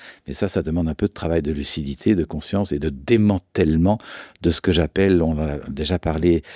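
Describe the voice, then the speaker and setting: Very deep, low male voice with a dark, mellow tone and fairly even intonation, dry and close with no echo, on a very clean recording with a silent background. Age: 60s. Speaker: therapist and author. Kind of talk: conversational interview.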